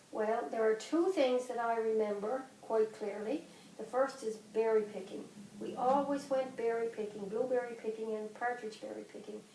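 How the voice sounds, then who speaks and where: Audible room echo and noticeable background noise surround this recording. A woman with a Newfoundland accent speaks at a moderate pace in a fairly high pitch with ordinary pitch variation. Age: 50s. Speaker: grandmother. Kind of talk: interview.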